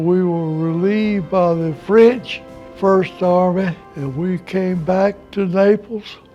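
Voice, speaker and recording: A high-pitched male voice with a South Carolina accent and fairly even intonation, music in the background. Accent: Southern American (South Carolina). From South Carolina, USA. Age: 80s+. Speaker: war veteran. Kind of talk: interview answer.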